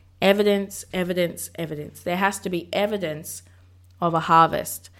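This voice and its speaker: With a passionate, animated tone, a woman speaks at medium pitch and a moderate pace, using ordinary pitch variation. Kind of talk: sermon-style devotional talk. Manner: energetic, preacher-like.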